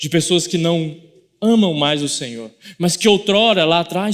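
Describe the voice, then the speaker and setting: This man has a Goiás accent and a high pitch. His intonation is lively. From Goiás, Brazil. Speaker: pastor. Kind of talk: sermon. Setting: church.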